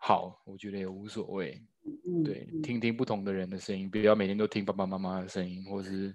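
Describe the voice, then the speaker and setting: With an unremarkable speaking voice, a man talks at a fairly quick pace, his fairly low pitch showing ordinary variation. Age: 30s. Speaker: stage actor and new father. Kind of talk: casual chat. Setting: at home during lockdown.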